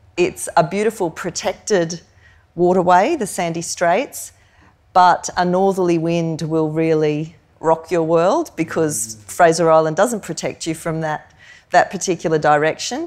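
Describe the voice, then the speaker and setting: In a very clean recording with a silent background, a woman with an Australian accent speaks at a fairly low pitch and fairly slow pace with ordinary pitch variation. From Queensland, Australia (Hervey Bay). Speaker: professor and food activist. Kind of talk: live on-stage interview. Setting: stage with live audience in museum hall.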